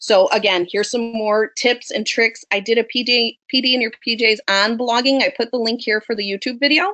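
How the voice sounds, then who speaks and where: Fairly high in pitch, a woman's voice has a bright, sharp tone and fairly even intonation, moving at a fairly quick pace with hardly any pauses. The recording sounds dry and close, with no echo. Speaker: elementary school teacher. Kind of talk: webinar presentation. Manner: fast.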